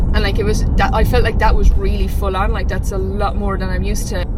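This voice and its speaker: Against noticeable background noise and audible room echo, a woman with an Irish accent speaks at a very fast pace. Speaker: fitness vlogger. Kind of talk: vlog. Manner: casual, chatty.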